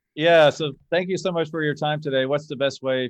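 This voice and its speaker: This man has an unremarkable speaking voice, fairly high in pitch with fairly even intonation. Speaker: car specialist and podcast host. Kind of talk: casual interview chat. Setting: remote call.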